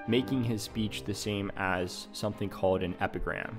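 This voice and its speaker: A man talks with a fairly low pitch that varies in an ordinary way. Behind him, music is playing. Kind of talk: philosophy explainer narration. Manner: slow.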